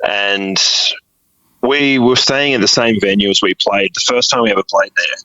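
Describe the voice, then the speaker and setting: A man with an Australian accent, at a moderate pace, his loudness very even. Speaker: musician. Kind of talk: interview.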